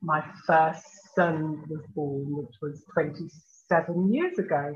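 Fairly even in intonation, a woman speaks in a very deep, low voice. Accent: Birmingham. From Birmingham, England. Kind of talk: interview.

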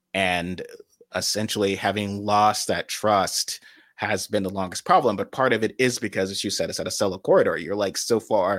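A man with a plain, everyday voice and an American accent speaks in a fairly low pitch at a moderate pace. His intonation is fairly even, and the recording is very clean, with a silent background. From US South, rural South Carolina. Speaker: independent political writer. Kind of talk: political interview.

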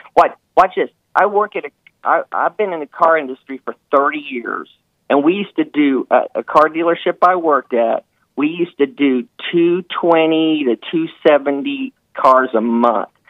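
A man with a normal speaking voice talks at a moderate pace, his pitch fairly high with ordinary pitch variation. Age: 50s. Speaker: caller, car industry worker. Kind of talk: call-in talk show. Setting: phone call.

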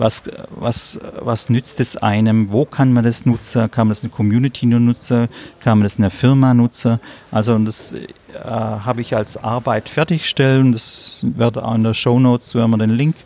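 A man at a moderate pace, dry and close with no echo, over noticeable background noise. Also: medium pitch for a man, fairly even intonation. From southern Germany, Stuttgart area. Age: 50s. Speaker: vocational trainer. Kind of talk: interview. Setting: cafeteria at a conference.

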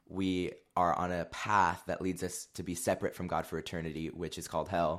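A very deep, low male voice at a moderate pace, on a very clean recording with a silent background. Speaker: guest, former youth group student. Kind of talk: casual interview chat.

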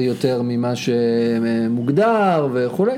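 A man speaks with lively intonation. Audible room echo and noticeable background noise fill the recording. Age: 30s. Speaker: podcast co-host, marketing consultant. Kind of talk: casual chat.

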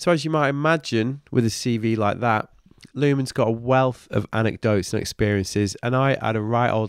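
A man speaks in a Mancunian accent. The sound is dry and close with no echo. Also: very clean recording, silent background. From Manchester, northern England. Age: 40s. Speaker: podcast host. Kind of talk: casual interview chat. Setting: in-person at an office.

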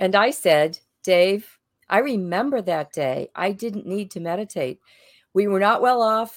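In a plain, everyday voice, a woman with an American accent talks at a medium pitch with lively intonation over a silent background in a very clean recording. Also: fairly slow pace. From Boston. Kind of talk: storytelling.

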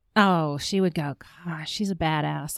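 With a Southern US accent, a woman speaks at a very deep, low pitch with ordinary pitch variation, and the sound is dry and close with no echo. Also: very clean recording, silent background. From French family, born in Canada, raised partly in Bahamas, Charlotte from 17. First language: French. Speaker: publishing business owner. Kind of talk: interview conversation. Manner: cheerful, laughs often.

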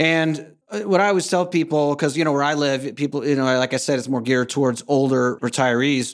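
Fairly high-pitched man talking with hardly any pauses. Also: ordinary pitch variation, fairly quick pace. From North Carolina, US. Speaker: expat consultant and podcaster. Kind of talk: casual interview. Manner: hesitant, many fillers.

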